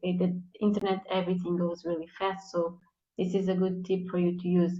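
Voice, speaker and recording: Speaking with a non-native accent, a woman talks at a moderate pace and a medium pitch. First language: not English. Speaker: content marketing guest. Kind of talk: live interview, tips. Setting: live video stream.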